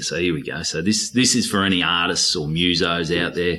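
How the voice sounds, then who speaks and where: A man with a very deep, low pitch, at a moderate pace with fairly even intonation, over noticeable background noise. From North Queensland, Australia. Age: 30s. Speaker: stand-up comedian. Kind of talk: casual chat.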